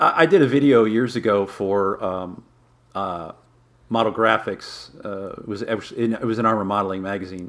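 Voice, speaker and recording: A man speaks with a Midwestern American accent. His pitch varies in an ordinary way. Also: fairly low pitch for a man, moderate pace. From Michigan, Detroit area. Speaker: magazine publisher and modeler. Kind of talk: interview.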